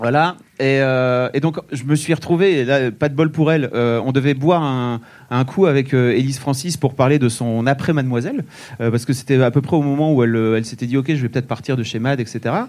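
A man's ordinary speaking voice at medium pitch, with fairly even intonation and a fairly quick pace. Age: 40s. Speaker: podcast co-host. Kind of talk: casual chat. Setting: stage with audience.

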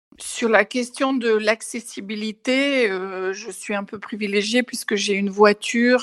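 With hardly any pauses, a woman speaks at a very slow pace, her medium pitch carrying fairly even intonation. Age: 60s. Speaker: testimony contributor, audiovisual worker. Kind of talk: testimony. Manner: halting.

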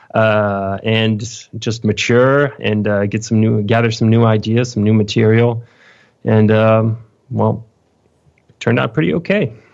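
A man with a French accent speaks with fairly even intonation and very even loudness. He leaves long, frequent pauses against a quiet background. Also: medium pitch for a man, moderate pace. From France, Lyon. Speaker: metal guitarist. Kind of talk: interview. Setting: home studio. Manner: halting.

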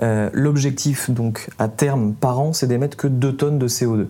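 A man talks at a medium pitch with fairly even intonation. Noticeable background noise is present. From south-east France. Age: 20s. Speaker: environmental podcaster. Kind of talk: interview.

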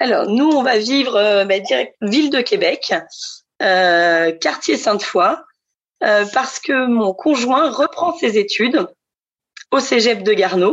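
A woman speaks at a very slow pace and a high pitch, her very wide pitch swings set against very even loudness and long, frequent pauses. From central France (Centre region). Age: 30s. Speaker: future expatriate. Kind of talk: testimony.

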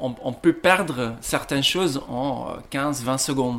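A man speaking at a very slow pace, with ordinary pitch variation and noticeable background noise. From Belgium, Ghent (Flanders). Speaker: coffee roaster. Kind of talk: interview. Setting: coffee roasting shop. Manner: halting, many repetitions and fillers.

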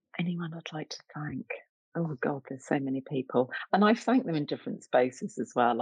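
Here a woman speaks at a very deep, low pitch. Her voice swings very widely in pitch. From East London, England. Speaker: arts director and curator. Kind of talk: interview.

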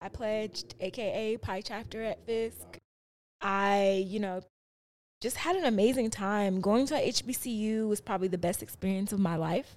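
At a fairly slow pace, a woman speaks in an ordinary speaking voice of medium pitch with ordinary pitch variation. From South Side of Chicago. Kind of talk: casual chat.

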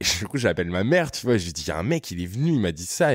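An animated tone from a man. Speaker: content creator. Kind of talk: casual interview.

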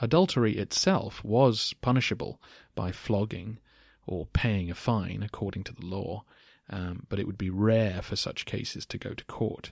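A man with an ordinary speaking voice talks at a moderate pace and fairly low pitch, with ordinary pitch variation and big swings in loudness. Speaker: podcast host. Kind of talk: scripted-style answers to listener questions, educational talk.

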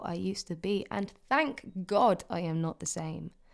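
A woman speaks. Her tone is intense and dramatic. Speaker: poet. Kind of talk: poet spoken word. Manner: intense, confessional, impassioned delivery with rhythmic, dramatic cadence.

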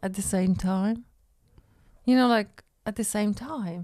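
A female-sounding voice at a medium pitch puts on a strained character voice. It moves at a fairly slow pace. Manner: stiff, strained.

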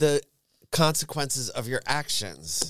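A man talks with a New York accent at a fairly slow pace. His tone is animated. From New York suburbs. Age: 50s. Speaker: drag performer. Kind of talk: casual chat. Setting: studio.

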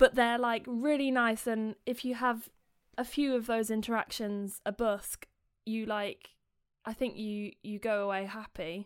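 A fairly high-pitched woman in a British accent, fairly slow and fairly even in intonation. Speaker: singer-songwriter and busker. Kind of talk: casual interview chat. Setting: remote call.

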